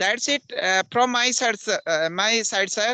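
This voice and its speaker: Raised and projected, a man's voice at an extremely high pitch carries a bright, sharp tone at a moderate pace, with a dry, close sound and no echo. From India, Uttarakhand (Pauri Garhwal). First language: Garhwali (also Hindi). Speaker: English teacher. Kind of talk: English conversation practice.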